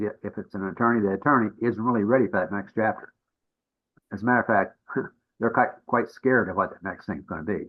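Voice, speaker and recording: The speaker is a man with a fairly low pitch. He talks at a very fast pace. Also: ordinary pitch variation. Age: 80s+. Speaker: business transition consultant. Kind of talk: podcast interview. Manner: halting, many restarts.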